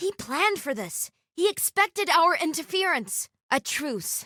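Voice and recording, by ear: Putting on a character voice, a woman speaks slowly at an extremely high pitch with big pitch swings and a bright, sharp tone.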